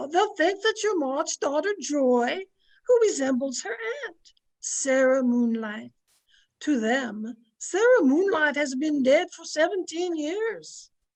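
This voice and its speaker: A woman uses a put-on character voice, pitched high with very wide pitch swings. She speaks at a fairly slow pace, and her loudness swings a lot. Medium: audio drama. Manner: warm, homely.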